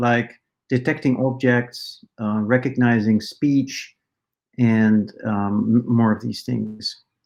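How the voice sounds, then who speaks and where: Very slow speech in a Dutch accent. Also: man. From Netherlands. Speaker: AI researcher and professor. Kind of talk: conference talk. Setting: conference presentation. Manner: many filler words (uh, um).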